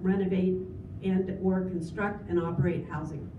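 A woman talks at a moderate pace with a medium-pitched voice. Background noise is noticeable. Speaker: government program executive director. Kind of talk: formal presentation and Q&A answers.

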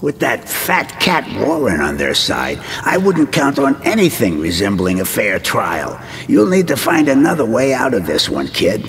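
Over clear background noise, a man puts on a character voice at a medium pitch. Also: moderate pace.

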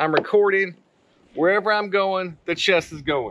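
At a moderate pace, a man talks with fairly high pitch, a fairly bright tone and ordinary pitch variation.

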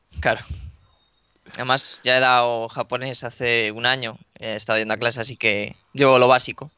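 A man with a Spanish accent speaks at a medium pitch in a bright, sharp tone and a monotone, flat intonation, with a dry sound, no echo and a quiet background. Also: moderate pace. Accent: Spanish (Spain). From northern Spain (Ponferrada, León); northern Spain. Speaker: gaming youtuber; gaming youtuber interviewee. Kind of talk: interview. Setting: Skype call. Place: home room. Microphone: video call.

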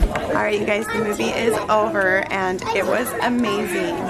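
A woman's voice over loud music in the background. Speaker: family vlogger. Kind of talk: casual vlog chat. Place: hall. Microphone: phone near.

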